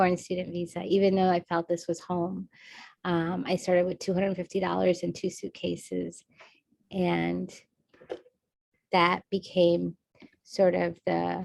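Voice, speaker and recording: Recorded with a dry, close sound and no echo, a woman with an American accent speaks at a fairly slow pace, leaving long, frequent pauses. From India and United States. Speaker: state legislator and engineer. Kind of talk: panel discussion.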